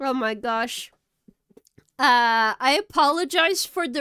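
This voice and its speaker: A woman's high, bright, sharp voice, raised and projected, at a very slow pace, dry and close with no echo, on a very clean recording with a silent background. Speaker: streamer. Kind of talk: casual chat. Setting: live stream. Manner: animated.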